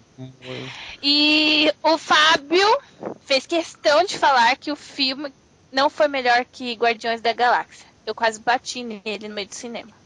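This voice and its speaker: A woman speaks at a fairly slow pace with ordinary pitch variation. Noticeable noise sits in the background. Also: dry, close sound with no echo. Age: 20s. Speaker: podcast guest. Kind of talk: casual chat.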